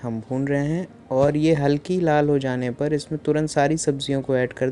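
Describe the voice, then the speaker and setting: A man speaks with a dark, mellow tone and fairly even intonation. Light background noise sits behind him. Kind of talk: cooking tutorial narration. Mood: friendly, relaxed. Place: kitchen.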